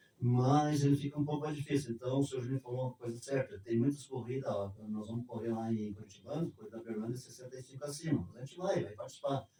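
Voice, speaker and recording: A man's voice at medium pitch, with ordinary pitch variation and a very fast pace. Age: 70s. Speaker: street runner. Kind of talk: interview.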